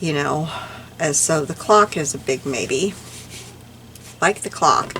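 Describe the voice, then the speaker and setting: Noticeable background noise runs behind a woman's voice. She speaks fairly slowly at a fairly low pitch. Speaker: crafting YouTuber. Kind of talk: casual craft tutorial. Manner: animated.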